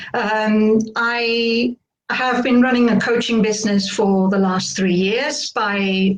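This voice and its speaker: In a slight British accent, a woman speaks at a very slow pace in a fairly high voice, with ordinary pitch variation and very even loudness. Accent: slight UK. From Spain. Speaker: burnout coach. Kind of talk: interview.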